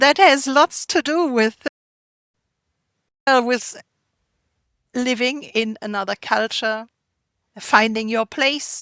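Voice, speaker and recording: In a very clean recording with a silent background and a dry, close sound with no echo, a woman speaks at a high pitch with a bright, sharp tone and ordinary pitch variation, at a very slow pace with long, frequent pauses. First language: German. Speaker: artisanal food producer. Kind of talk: interview.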